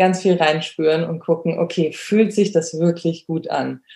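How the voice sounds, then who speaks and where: Dark and mellow in tone, a woman's voice sits at a fairly low pitch. She speaks at a very slow pace with fairly even intonation. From Germany. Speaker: dog trainer and photographer. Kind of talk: interview. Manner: hesitant, many fillers.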